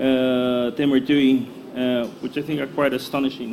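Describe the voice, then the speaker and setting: Audible room echo and noticeable background noise surround a man who speaks at a fairly slow pace with a fairly high pitch. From Brazil. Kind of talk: panel introduction. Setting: conference hall with audience. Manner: halting, many fillers.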